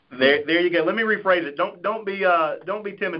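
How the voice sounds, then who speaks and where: Talking at a very fast pace, a man with a Southern US accent uses a high pitch. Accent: Southern twang. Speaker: life insurance sales agent. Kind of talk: conference call Q&A. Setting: phone call.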